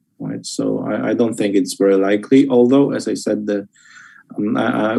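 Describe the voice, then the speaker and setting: The speaker talks with a Polish accent. The pace is fairly quick. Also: man. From Poland. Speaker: policy expert. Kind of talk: expert panel discussion. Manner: halting.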